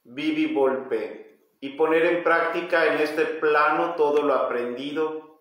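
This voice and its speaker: Room echo is audible around a man's voice. He speaks at a very slow pace. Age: 40s. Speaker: metaphysics teacher leading livestream study group. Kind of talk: livestream lecture with reading aloud and viewer comments; live stream talk, greeting viewers. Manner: halting, with frequent repetitions. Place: home room. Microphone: phone near.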